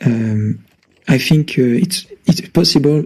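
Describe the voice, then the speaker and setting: A man with a French accent speaks at a medium pitch in a dark, mellow, somewhat breathy tone. His fairly slow pace carries lively intonation. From France. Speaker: caller. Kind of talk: casual chat. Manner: halting.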